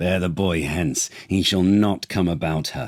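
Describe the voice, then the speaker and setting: Growling in a put-on character voice, a man speaks at a very deep, low pitch and a fairly slow pace. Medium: read story. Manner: furious, commanding.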